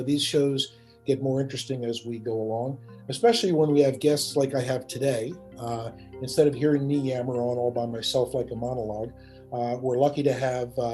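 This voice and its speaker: With music in the background, a man of medium pitch talks at a fairly quick pace, his intonation fairly even. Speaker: podcast host; author. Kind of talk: podcast interview conversation.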